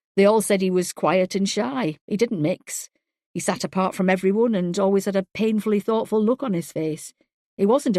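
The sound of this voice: The voice is an unforced reading voice with fairly even intonation. Behind it, the background is quiet.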